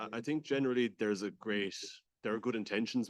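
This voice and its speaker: An Irish-accented man speaks very fast at a fairly low pitch with ordinary pitch variation. The sound is dry and close, with no echo. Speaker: audience member asking a question. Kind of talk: audience question. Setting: small room with audience.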